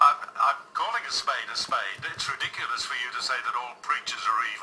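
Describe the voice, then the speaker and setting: Speech comes at a fairly quick pace with big swings in loudness and noticeable background noise. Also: man. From Australia. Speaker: talkback radio host. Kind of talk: radio interview, skeptical host.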